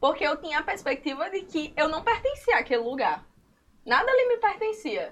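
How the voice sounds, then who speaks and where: At a moderate pace, a woman talks at an extremely high pitch. Her pitch swings very widely. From Currais Novos, Seridó, Rio Grande do Norte, Brazil. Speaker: illustrator and comic artist. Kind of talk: casual chat.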